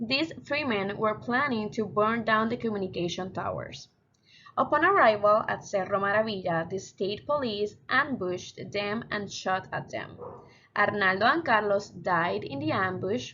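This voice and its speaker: A woman's bright, sharp voice at medium pitch, with a Spanish accent. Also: lively intonation, moderate pace. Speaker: student. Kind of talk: class presentation.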